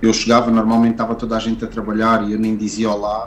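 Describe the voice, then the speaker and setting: The voice is a man's, pitched in the medium range. It stays monotone and flat throughout. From Portugal (left Angola at age 7). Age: 30s. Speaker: tattoo artist. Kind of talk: casual interview. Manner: halting, many fillers and repetitions.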